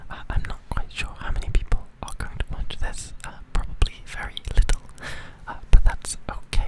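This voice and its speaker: Over noticeable background noise, a whispered voice comes through at a moderate pace. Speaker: ASMR creator. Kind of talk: ASMR rambling talk.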